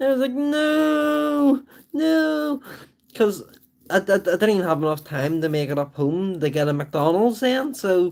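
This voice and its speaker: A man speaks at a fairly slow pace with a Belfast accent. His intonation is lively. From Northern Ireland, Belfast. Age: 30s. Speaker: livestreamer. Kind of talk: casual chat. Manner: rambling, many fillers.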